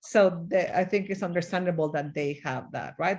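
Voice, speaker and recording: A woman speaks with a Mexican accent at a moderate pace. Her pitch is fairly low, with ordinary variation. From Mexico. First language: Spanish. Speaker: diversity consultant and leadership coach. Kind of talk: interview.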